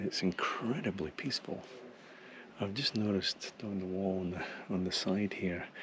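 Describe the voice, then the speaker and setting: A fairly low-pitched man with fairly even intonation against noticeable background noise. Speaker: travel photography vlogger. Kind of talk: on-location vlog narration. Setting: outdoors in a gorge. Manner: whispering.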